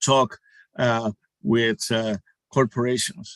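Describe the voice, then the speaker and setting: A man with a Spanish accent talks at medium pitch with ordinary pitch variation. The sound is dry and close, with no echo. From Puerto Rico. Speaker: panelist, sports organization community staffer. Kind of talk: panel discussion. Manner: halting, many fillers.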